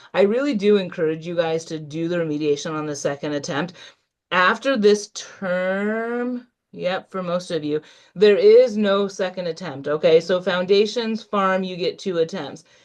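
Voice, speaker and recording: At a moderate pace, a woman talks in an ordinary speaking voice at medium pitch against a quiet background. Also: ordinary pitch variation. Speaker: nursing instructor. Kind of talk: online workshop lecture.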